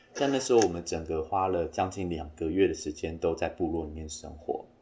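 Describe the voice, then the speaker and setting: A man speaks at a fairly quick pace with a very deep, low pitch. His voice is somewhat breathy, with ordinary pitch variation. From Taiwan, Taitung (Amis). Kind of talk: interview.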